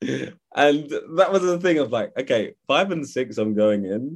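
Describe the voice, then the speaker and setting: The background is quiet. A man speaks with a London accent. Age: 20s. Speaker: actor. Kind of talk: interview. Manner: hesitant, many fillers.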